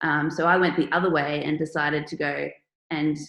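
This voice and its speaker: A woman's very deep, low voice in an Australian accent, flat and monotone, at a moderate pace. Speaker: artist and online workshop presenter. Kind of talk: online workshop presentation.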